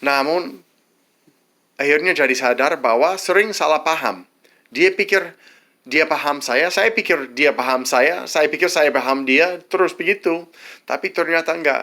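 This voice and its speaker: A man's bright, sharp voice at a fairly high pitch and fairly slow pace, with very even loudness and ordinary pitch variation, in a very clean recording with a silent background. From United States. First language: English (speaking Indonesian). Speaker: vlogger, widower of an Indonesian wife. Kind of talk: advice monologue. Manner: halting, many false starts.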